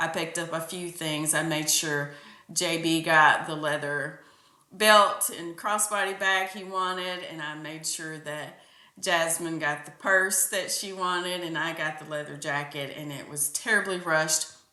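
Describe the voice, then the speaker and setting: In a room with audible echo, a woman with a fairly low voice talks at a fairly slow pace with fairly even intonation and big swings in loudness. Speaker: podcast host. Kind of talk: casual monologue.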